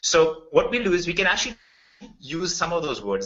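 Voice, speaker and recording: This man has a fairly high pitch and a strong Indian accent. His intonation is lively and his pace moderate. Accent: thick Indian. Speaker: software developer presenting a business opportunity. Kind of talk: webinar sales presentation. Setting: online webinar. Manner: casual, conversational with fillers.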